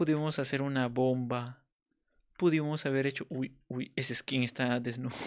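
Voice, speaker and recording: A man at medium pitch and moderate pace, on a very clean recording with a silent background. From Peru. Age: 20s. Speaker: gaming streamer. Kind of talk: live gameplay commentary. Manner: animated.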